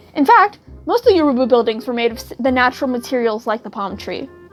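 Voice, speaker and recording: A woman's very fast, high-pitched voice with an American accent, over music in the background. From United States. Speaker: student. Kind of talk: school project narration. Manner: stuttering.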